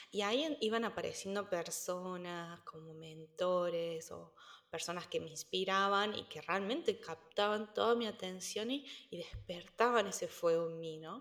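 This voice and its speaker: With a Cordoban Argentine accent, a woman speaks at a fairly slow pace. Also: medium pitch for a woman, ordinary pitch variation, big swings in loudness. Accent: Argentine Spanish, Córdoba. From Argentina, Córdoba. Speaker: entrepreneur, nutrition coach. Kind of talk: interview conversation. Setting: remote call. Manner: halting, many repetitions.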